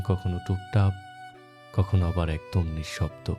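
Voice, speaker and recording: A man's voice with music in the background. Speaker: radio jockey, radio-style host. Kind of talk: radio-style morning show intro with poetic narration.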